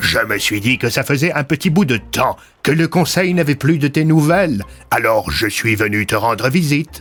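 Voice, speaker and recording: Over faint music in the background, a man performs a put-on character voice at a fairly high pitch with lively intonation. His pace is moderate and his loudness very even. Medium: audio drama. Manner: measured, paternalistic.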